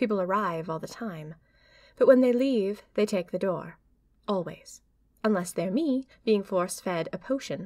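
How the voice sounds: A natural reading voice comes through here.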